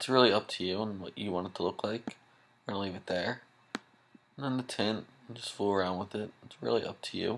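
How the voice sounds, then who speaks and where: Soft-spoken and at a fairly quick pace, a man with a fairly low pitch and ordinary pitch variation leaves long, frequent pauses, his loudness swinging a lot. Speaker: software tutorial maker. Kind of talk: tutorial. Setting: home at night, others sleeping. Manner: soft-spoken, talking low; casual.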